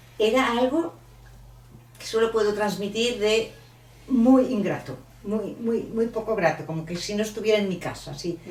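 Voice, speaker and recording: With audible room echo behind her, a woman at a fairly high pitch speaks at a fairly slow pace, using ordinary pitch variation and long, frequent pauses. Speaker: author. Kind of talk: book presentation talk. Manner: animated.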